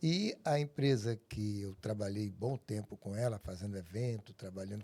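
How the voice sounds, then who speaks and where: A somewhat breathy man's voice, dark and mellow in tone, at a moderate pace. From Brazil, Tocantins (Porto Nacional). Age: 60s. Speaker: documentary filmmaker. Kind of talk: podcast interview.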